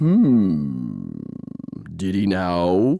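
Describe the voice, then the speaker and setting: Low and rumbling, a put-on character voice fills the clip. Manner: slow, rumbling.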